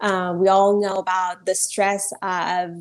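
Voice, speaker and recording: Speech comes at a very slow pace in a Persian accent. The background is quiet. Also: woman. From Iran. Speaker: lawyer. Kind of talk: interview. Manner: hesitant, many fillers.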